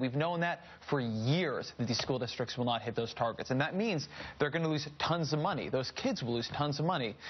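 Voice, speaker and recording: This man has an unremarkable speaking voice pitched fairly high. His pitch varies in an ordinary way. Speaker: cable news host. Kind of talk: news talk segment. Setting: studio. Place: studio.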